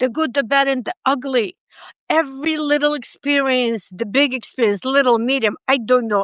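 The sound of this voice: Speaking with a non-native accent, a woman with a high-pitched voice talks at a fairly slow pace in a dry, close sound with no echo. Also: fairly bright tone. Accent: foreign-accented English.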